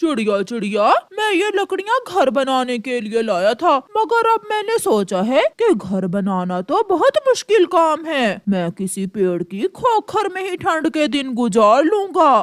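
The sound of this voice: A cartoonish character voice, high in pitch with very wide pitch swings, at a fairly slow pace.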